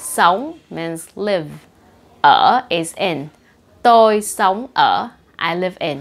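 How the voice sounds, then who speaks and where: A woman with a Vietnamese accent talks at a very slow pace, with lively intonation and long, frequent pauses. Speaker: language teacher. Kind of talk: tutorial. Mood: cheerful, smiling. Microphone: lapel.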